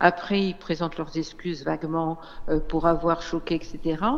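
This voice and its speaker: A woman speaks at a fairly slow pace with fairly low pitch. It is an ordinary speaking voice. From Réunion. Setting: phone call. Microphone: phone line.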